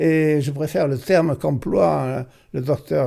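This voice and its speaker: A man speaks with a dark, mellow tone. His pitch is fairly high, with ordinary pitch variation. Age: 80s+. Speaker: author and near-death experience witness. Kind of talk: interview. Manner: halting.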